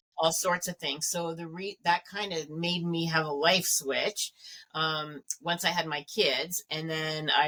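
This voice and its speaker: With a Canadian accent, a woman speaks at a fairly slow pace in a very deep, low pitch and fairly even intonation, the sound dry and close with no echo. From Canada. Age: 60s. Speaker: wellness expert. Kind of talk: casual chat.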